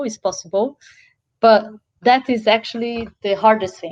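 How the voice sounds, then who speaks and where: A woman speaks with a Portuguese accent at a fairly slow pace. Her intonation is fairly even. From Brazil. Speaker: social enterprise founder, event speaker. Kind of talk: interview Q&A.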